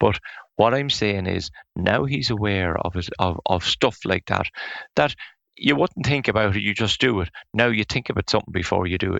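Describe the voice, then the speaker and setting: With an Irish accent, a man talks at a moderate pace. His pitch is fairly low, with ordinary variation. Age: 60s. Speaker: forest owner and firewood business owner. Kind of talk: interview. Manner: halting, with frequent repetitions.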